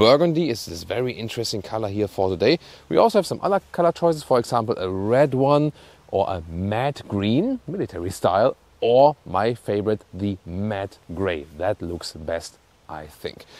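A man's fairly low voice at a moderate pace, dry and free of echo. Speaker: car reviewer. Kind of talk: car review presentation. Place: street.

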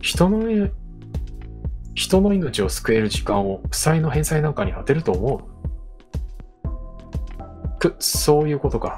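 A soft-spoken man's calm voice at a fairly slow pace, with long, frequent pauses and music in the background. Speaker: VTuber game streamer. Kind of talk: game let's play with dialogue reading. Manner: soft, calm for sleep.

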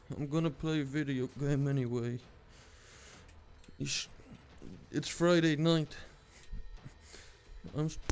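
Over music in the background, the speaker goes at a fairly slow pace with fairly even intonation and long, frequent pauses. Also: man. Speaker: gaming youtuber. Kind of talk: gameplay commentary. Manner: soft-spoken.

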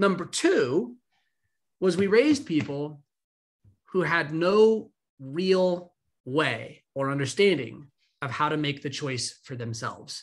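Speaking very slowly with long, frequent pauses, a man with an American accent uses a fairly high pitch over a quiet background. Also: lively intonation. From California. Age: 30s. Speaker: discipline coach and founder of a daily email; discipline coach. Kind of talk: interview. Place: home room.

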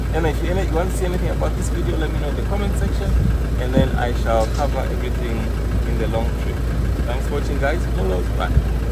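Loud background noise fills the clip as the speaker talks at a very fast pace. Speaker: car renter vlogger. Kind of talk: casual vlog chat. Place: car. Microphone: phone near.

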